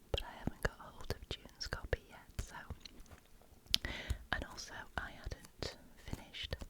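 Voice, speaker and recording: Someone whispers, leaving long, frequent pauses and swinging widely in loudness. Noticeable background noise can be heard. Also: woman. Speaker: ASMR reader. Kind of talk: casual chat to camera while having coffee. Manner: soft-spoken, whispered.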